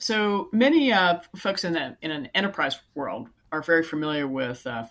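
In a very clean recording with a silent background, a woman with a Californian accent speaks at a moderate pace with lively intonation. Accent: Californian American English. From California, Silicon Valley. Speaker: software company CEO. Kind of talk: interview.

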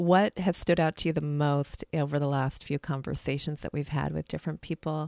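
A woman's very deep, low voice, fairly even in intonation and moderate in pace, in a very clean, dry, close recording with no echo and a silent background. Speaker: podcast host and counselor. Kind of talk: casual chat.

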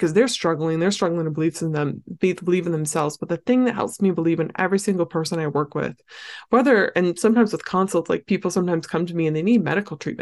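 A woman talks at a very fast pace with hardly any pauses. Her voice is fairly low, with ordinary pitch variation, against a quiet background. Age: 20s. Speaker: eating disorder recovery coach. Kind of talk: casual solo podcast talk. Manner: animated.

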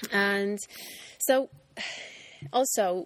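Ordinary pitch variation from a woman in a Finnish accent. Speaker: ice cream business owner. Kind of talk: casual interview. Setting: ice cream factory. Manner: halting.

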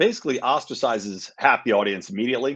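A man with an American accent at a very fast pace, with very wide pitch swings. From Pennsylvania. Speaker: libertarian activist. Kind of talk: casual interview.

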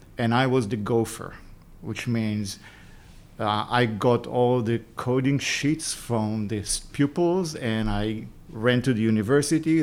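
On a very clean recording with a silent background, a man with an Israeli accent speaks fairly slowly at a medium pitch with ordinary pitch variation. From Israel, Jerusalem. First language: Hebrew. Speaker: tech entrepreneur. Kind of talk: interview.

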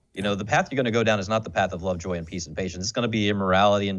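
This man talks at a fairly low pitch with an American accent. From US. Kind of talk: casual conversation.

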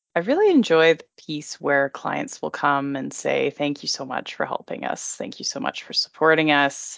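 A woman talks at a moderate pace with hardly any pauses. Her loudness swings a great deal. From Alberta, Canada (Red Deer). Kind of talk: interview. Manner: hesitant with fillers.

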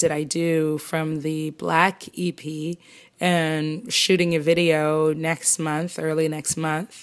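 Very slowly, a woman speaks in a very deep, low pitch with monotone, flat intonation. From Canada, Toronto. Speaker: singer-songwriter. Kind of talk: interview.

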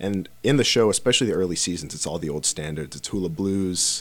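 A man's very deep, low voice at a very fast pace. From Dallas, Texas. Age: 20s. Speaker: musician, band founder. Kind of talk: casual chat.

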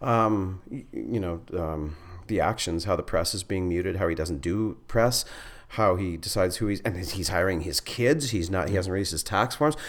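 This man's voice is very deep and low in pitch. He talks at a moderate pace. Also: ordinary pitch variation. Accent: Canadian. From northern Manitoba, Canada. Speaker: stand-up comedian and school teacher. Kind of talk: casual chat.

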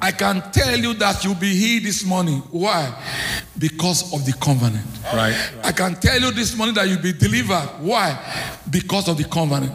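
A high-pitched man at a moderate pace, very wide pitch swings, noticeable background noise. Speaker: visiting preacher. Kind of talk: sermon. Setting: church. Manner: emphatic, call-and-response.

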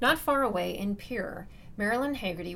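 A woman at a fairly quick pace, lively in intonation, with vocal fry. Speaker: podcast host narrator. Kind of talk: scripted narration.

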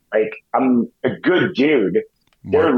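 This man has a normal speaking voice at a fairly high pitch. He keeps a moderate pace. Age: 40s. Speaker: January 6th defendant. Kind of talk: interview.

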